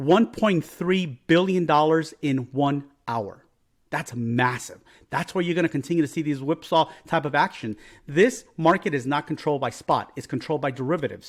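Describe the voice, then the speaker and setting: A man with a fairly high voice is heard in a very clean recording, the background entirely silent. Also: ordinary pitch variation. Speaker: crypto trader and market analyst. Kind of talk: market analysis commentary. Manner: fast; quick, rushed delivery.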